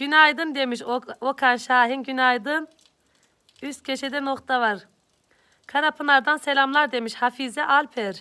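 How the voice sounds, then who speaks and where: Raised and projected, a woman's high voice has a bright, sharp tone and fairly even intonation. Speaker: YouTube vlogger. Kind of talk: live stream greeting viewers. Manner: loud.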